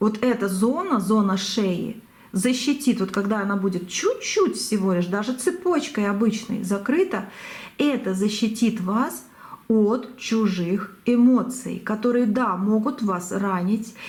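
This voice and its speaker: Audible room echo surrounds a woman speaking fairly slowly. Her fairly high, somewhat breathy voice has ordinary pitch variation. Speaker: tarot reader. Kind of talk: tarot reading. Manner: halting.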